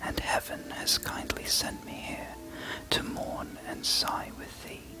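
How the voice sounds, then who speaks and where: Whispering at a very slow pace, the voice sits over noticeable background noise. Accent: British. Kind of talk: poetry reading. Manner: whispered, soft, relaxing ASMR delivery.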